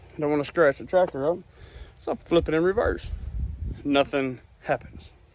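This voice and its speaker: A man with a Southern US accent, high-pitched and fairly quick. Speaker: rural landowner vlogger. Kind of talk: casual vlog narration.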